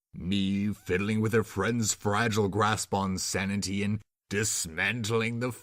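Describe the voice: The voice is plain reading aloud with fairly even intonation. The background is quiet.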